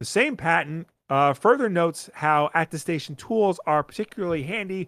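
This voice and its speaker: Speaking with a Long Island accent, a man uses a fairly high pitch with ordinary pitch variation at a moderate pace. The sound is dry and close with no echo, in a very clean recording with a silent background. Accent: Long Island New York. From Long Island, New York. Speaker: podcast co-host. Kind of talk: casual chat.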